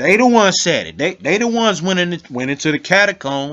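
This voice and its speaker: A man with an animated tone and lively intonation. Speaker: video blogger on religion and history. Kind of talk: casual commentary video with reading of source text.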